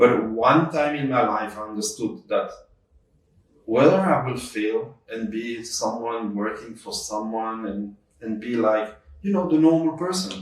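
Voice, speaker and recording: Speaking at a fairly slow pace in a French accent, a man holds a medium pitch with ordinary variation. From Belgium. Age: 50s. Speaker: entrepreneur. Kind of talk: interview. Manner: halting.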